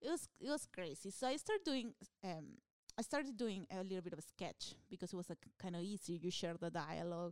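A woman speaks at a fairly quick pace with a Peruvian accent, her pitch medium and her intonation lively. The sound is dry and close, with no echo. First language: Spanish. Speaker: stand-up comedian. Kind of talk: casual chat. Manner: animated.

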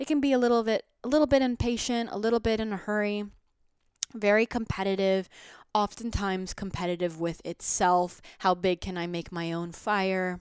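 A woman talks at a moderate pace with ordinary pitch variation. The recording is very clean, with a silent background. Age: 20s. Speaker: wellness podcast host. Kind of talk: casual monologue.

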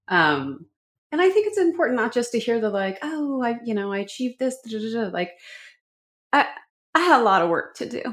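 In a very clean recording with a silent background, a woman with a slight Canadian accent speaks at a fairly quick pace and fairly high pitch, using very wide pitch swings and long, frequent pauses. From Vancouver, Canada. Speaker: communications consultant and professor. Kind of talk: interview.

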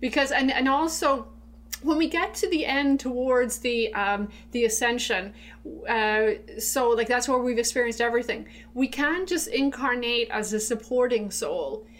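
With an Irish accent, a high-pitched woman talks at a moderate pace with ordinary pitch variation. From Ireland. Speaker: spiritual hypnotherapist. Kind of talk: casual interview conversation. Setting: studio. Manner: halting, with many fillers.

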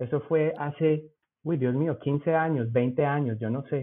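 With a Bogotá accent, a man speaks at a fairly slow pace in a fairly high pitch, using ordinary pitch variation. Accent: Bogotá (rolo) Spanish. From Zipaquirá, Colombia. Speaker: cannabis industry worker. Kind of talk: casual interview.

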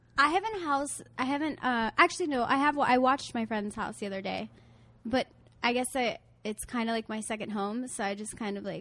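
A woman talks at a fairly quick pace with ordinary pitch variation. It is a normal speaking voice. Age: 20s. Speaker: relationship coach. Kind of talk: casual chat. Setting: outdoors.

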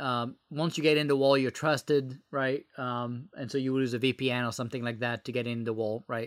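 Over a silent background in a very clean recording, a man speaks fairly quickly with a bright, sharp tone. His pitch is medium and his intonation fairly even. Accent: French. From France. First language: French. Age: 30s. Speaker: former government software executive and entrepreneur. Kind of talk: podcast interview. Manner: halting, many filler words.

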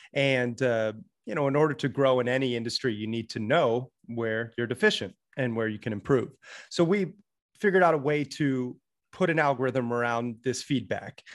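A man with an American accent has a plain, everyday voice, speaking at a moderate pace with ordinary pitch variation against a quiet background. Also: medium pitch for a man. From US, Florida and Montana. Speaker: author and podcaster. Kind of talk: interview.

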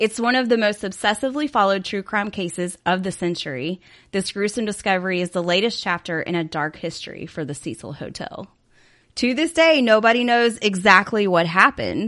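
With lively intonation and a fairly quick pace, a plain, everyday voice comes through over a quiet background. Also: woman, medium pitch for a woman. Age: 40s. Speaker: podcast co-host. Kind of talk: casual chat with read-out case narration.

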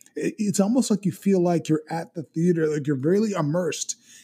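A dark, mellow tone with lively intonation, in an American accent. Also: man. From Miami, South Florida. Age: 40s. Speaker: actor and filmmaker. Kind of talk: casual chat.

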